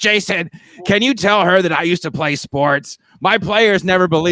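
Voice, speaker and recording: In a put-on character voice, a man speaks raspy and high-pitched at a moderate pace. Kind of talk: casual, conversational.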